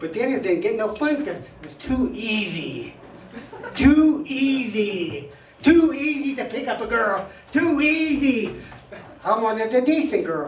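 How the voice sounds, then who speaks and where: This man's pitch is extremely high and swings very widely, while his loudness rises and falls sharply. He speaks fairly slowly, with audible room echo and noticeable background noise. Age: 70s. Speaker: stand-up comic at open mic. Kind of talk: stand-up. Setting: stage with audience.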